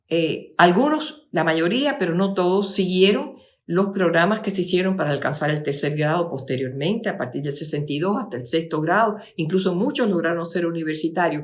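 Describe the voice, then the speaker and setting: A woman with a fairly low pitch talks at a moderate pace with lively intonation. She leaves hardly any pauses, and there is audible room echo. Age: 70s. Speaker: lecturer. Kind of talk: lecture. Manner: halting.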